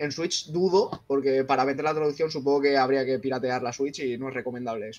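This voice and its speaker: His voice is fairly high, and its pitch varies in an ordinary way. The man's pace is very fast. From Andalusia, Jaén province. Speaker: gamer, chat group admin. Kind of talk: casual chat. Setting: live stream.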